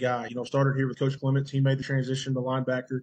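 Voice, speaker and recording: A man speaks very fast in a monotone, flat intonation, his medium-pitched voice somewhat breathy. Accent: American. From western Oklahoma (Custer County). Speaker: college football player. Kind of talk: casual interview. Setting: video call.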